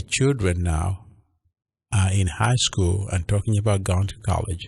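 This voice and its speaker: Somewhat breathy and fairly low in pitch, a man speaks at a fairly slow pace with a Ugandan accent. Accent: Ugandan accent, noticeable. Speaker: pastor. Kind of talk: radio interview. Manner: hesitant with many fillers.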